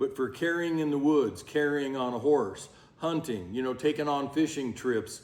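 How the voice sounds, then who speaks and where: The speaker uses an ordinary speaking voice, keeping a moderate pace and ordinary pitch variation. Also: man, fairly high pitch for a man. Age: 60s. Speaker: ammunition maker and gun expert. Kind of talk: tutorial. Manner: casual, conversational.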